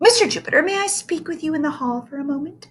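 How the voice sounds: A woman speaks very fast in a put-on character voice, squeaky and breathy. Her pitch is extremely high, with lively intonation.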